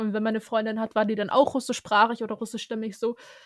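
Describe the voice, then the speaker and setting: The recording of this woman's voice sounds dry and close, with no echo. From Germany. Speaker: podcast co-host, law student. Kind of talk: casual interview chat.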